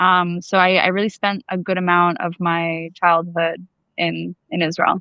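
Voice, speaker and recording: In a New York accent, a woman speaks with flat, monotone intonation at a fairly low pitch. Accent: New York American. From US, New York. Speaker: activist, attack survivor. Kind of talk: interview conversation. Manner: casual, filler-heavy.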